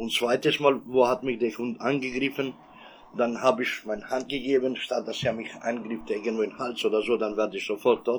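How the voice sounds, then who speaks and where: Fairly even intonation marks this man's medium-pitched speech, delivered at a moderate pace. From Kosovo. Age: 40s. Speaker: victim of a police dog attack. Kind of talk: personal testimony. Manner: halting, non-native phrasing.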